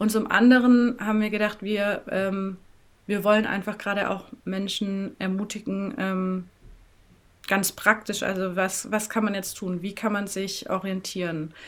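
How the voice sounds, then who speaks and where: At a fairly slow pace, a woman of medium pitch talks in a flat monotone with a slight southern German accent. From Swabia, southern Germany (near Tübingen/Böblingen). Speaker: NGO coordinator. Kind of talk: interview.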